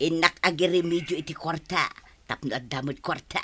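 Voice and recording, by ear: A woman's put-on character voice, low in pitch, bright and sharp with a slightly husky edge, at a moderate pace with ordinary pitch variation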